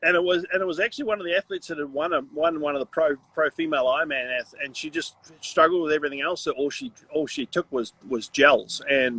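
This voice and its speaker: A man speaks very fast in a New Zealand accent, with a fairly high pitch and ordinary pitch variation. The sound is dry and close, with no echo. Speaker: triathlon coach. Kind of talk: casual interview chat. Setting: Instagram live stream. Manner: hesitant, repeats words.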